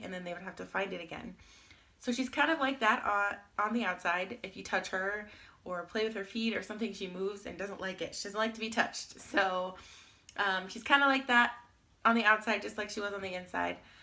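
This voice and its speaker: A woman talks at a fairly quick pace in a medium-pitched voice with a bright, sharp tone. Her pitch varies in an ordinary way, while her loudness swings widely. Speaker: vlogger, new mother. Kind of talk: casual vlog update.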